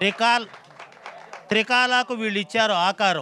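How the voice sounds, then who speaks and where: Over crowd noise in the background, a raised, projected voice carries ordinary pitch variation. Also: man. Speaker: rhyming comedy speaker. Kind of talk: rhyming speech at a film event. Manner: humorous, rhythmic.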